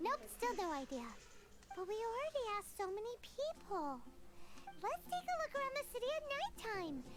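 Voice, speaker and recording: Over loud background noise, a put-on character voice at an extremely high pitch speaks with long, frequent pauses. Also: moderate pace. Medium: video game. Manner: energetic, expressive.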